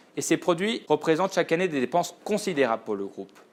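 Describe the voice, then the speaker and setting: This man's voice sits fairly high in pitch and carries lively intonation. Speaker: purchasing buyer. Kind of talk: scripted narration. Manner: formal.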